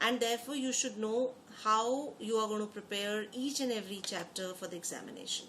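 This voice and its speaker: Against noticeable background noise and audible room echo, a woman speaks at a fairly quick pace in a fairly high pitch with fairly even intonation. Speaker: exam prep teacher. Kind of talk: online lecture. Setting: online class. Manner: fast.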